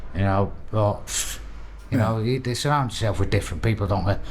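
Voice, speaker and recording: Vocal fry runs through this man's fairly low-pitched voice, his intonation fairly even. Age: 60s. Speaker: prisoner in addiction recovery. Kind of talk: casual chat. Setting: prison recovery wing. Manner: halting.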